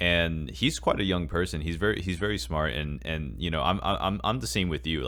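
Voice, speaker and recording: Fairly quick speech from a man, very deep and low, with vocal fry and ordinary pitch variation. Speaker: podcast co-host. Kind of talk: casual podcast conversation. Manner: hesitant, many fillers.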